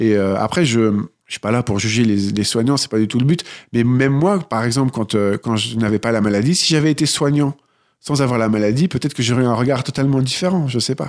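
A man with an ordinary speaking voice at medium pitch, fairly quick pace and ordinary pitch variation, very even loudness, on a very clean recording with a silent background. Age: 30s. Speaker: nursing assistant and author. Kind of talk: interview testimony.

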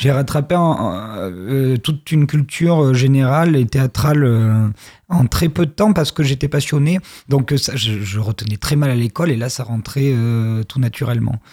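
Somewhat breathy, with a dark, mellow tone, a man speaks at a fairly slow pace with ordinary pitch variation. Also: medium pitch for a man. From southwest France, Périgord noir (Dordogne). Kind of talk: radio interview.

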